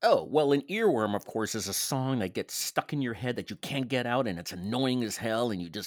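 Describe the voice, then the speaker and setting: A man with a medium pitch and ordinary pitch variation uses a normal speaking voice at a moderate pace with hardly any pauses. The recording is very clean with a silent background, and the sound is dry and close with no echo. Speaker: podcast co-host. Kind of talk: casual comedic banter. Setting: Orlando, Florida. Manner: jokey, playful.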